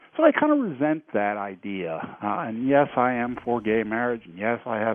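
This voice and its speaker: A man is talking. He keeps a moderate pace. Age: 60s. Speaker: caller. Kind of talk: call-in opinion. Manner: halting.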